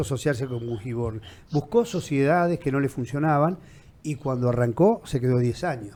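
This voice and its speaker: Speaking with a dark, mellow tone and lively intonation, a man keeps a moderate pace at a medium pitch. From Argentina, Viedma (Patagonia). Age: 60s. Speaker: interviewer. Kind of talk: interview.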